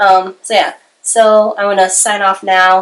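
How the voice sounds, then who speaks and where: A woman speaks in a bright, sharp tone. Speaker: YouTuber and aspiring novelist. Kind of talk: casual vlog monologue. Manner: hesitant with many fillers.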